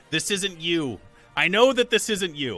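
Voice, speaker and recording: Over faint music in the background, a man does a put-on character voice, high and strained, with lively intonation at a moderate pace. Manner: pleading.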